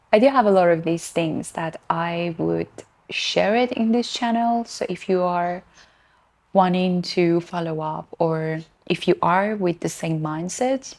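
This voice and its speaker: A woman with a non-native accent speaks at a fairly slow pace and a fairly low pitch. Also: ordinary pitch variation. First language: not English. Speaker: lifestyle vlogger. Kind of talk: casual monologue. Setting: at home, cat nearby. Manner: halting.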